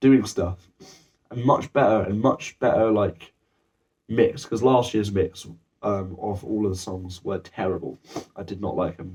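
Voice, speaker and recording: A man's somewhat breathy, fairly low voice, fairly slow and full of long, frequent pauses, with ordinary pitch variation and big swings in loudness. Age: 18. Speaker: music student. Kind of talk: project evaluation talk. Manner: halting, many fillers and restarts.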